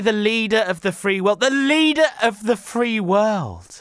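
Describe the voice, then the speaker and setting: A man with a British accent speaks in a bright, sharp tone. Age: 30s. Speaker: podcast host. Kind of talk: casual solo podcast monologue.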